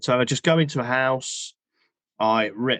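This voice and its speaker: Recorded with a dry, close sound with no echo and a quiet background, a man speaks at medium pitch in a British accent. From English Midlands. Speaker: singer and plumber. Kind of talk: podcast interview.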